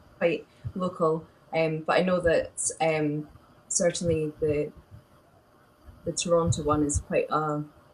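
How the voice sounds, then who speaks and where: Speaking with a Scottish accent, a woman uses a very deep, low pitch and a monotone, flat intonation, her somewhat breathy voice holding very even loudness at a fairly slow pace with long, frequent pauses. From Scotland. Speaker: medical illustrator and animator. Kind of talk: live stream interview. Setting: live video stream.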